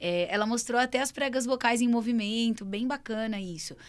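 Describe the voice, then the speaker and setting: Recorded very cleanly with a silent background, a woman talks at a fairly quick pace and fairly high pitch, with ordinary pitch variation. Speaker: speech therapist, video co-host. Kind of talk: casual educational chat.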